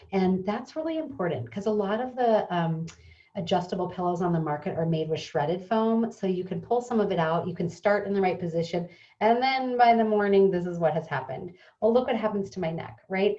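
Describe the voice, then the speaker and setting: A woman with a medium pitch and a somewhat breathy voice talks fairly quickly, her intonation lively. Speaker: pillow company co-founder. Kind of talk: product presentation. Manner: fast; casual with fillers.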